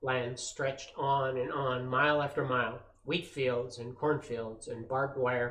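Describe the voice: Someone reads plainly aloud. Text is just read out without more.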